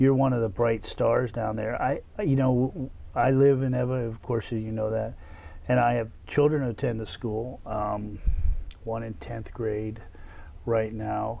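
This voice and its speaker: With an American accent, a man speaks at a medium pitch and a fairly slow pace, with fairly even intonation. Audible room echo surrounds the voice. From US mainland. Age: 50s. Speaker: state legislator, show host. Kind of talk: interview. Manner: casual, conversational.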